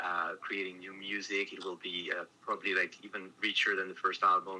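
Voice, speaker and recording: A man's fairly low, monotone, flat delivery in a French accent, with big swings in loudness. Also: moderate pace. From France. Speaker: metal band guitarist. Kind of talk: interview.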